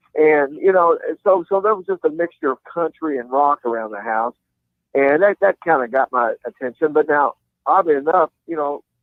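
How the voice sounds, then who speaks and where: A man with a Kentucky accent and a fairly high pitch. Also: ordinary pitch variation, moderate pace. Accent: Kentucky Southern US. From Kentucky, Louisville. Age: 60s. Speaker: country rock guitarist. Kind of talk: interview. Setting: phone call; outdoors. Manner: halting.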